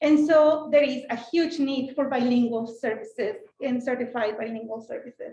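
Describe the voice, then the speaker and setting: In a Mexican accent, a woman speaks at a high pitch with ordinary pitch variation, and audible room echo surrounds her voice. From Mexico. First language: Spanish. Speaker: school board president. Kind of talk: panel talk. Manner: animated.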